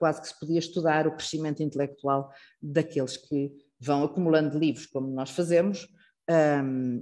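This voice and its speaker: A woman's very deep, low voice in a dark, mellow tone, with a European Portuguese accent, fairly even intonation and a moderate pace. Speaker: institute director hosting a lecture. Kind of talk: formal introduction speech. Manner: hesitant, many fillers.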